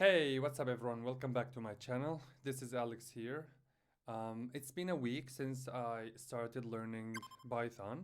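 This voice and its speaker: A man speaks at a moderate pace with a non-native accent. His intonation stays fairly even. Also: medium pitch for a man. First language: not English. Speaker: beginner programming vlogger. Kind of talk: personal vlog. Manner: halting, many fillers.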